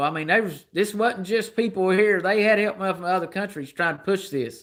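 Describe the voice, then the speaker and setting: On a very clean recording with a silent background, a man with a Southern US accent speaks fairly quickly at a high pitch in an animated tone. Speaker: livestreamer. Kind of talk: political rant on livestream. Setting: live stream.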